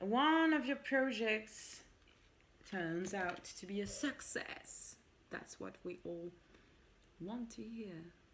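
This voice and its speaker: A woman with a French accent, very slow and broken by long, frequent pauses, her intonation lively and her loudness swinging widely. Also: fairly high pitch for a woman. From France. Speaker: tarot reader. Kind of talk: tarot reading, casual solo talk. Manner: switches between French and English.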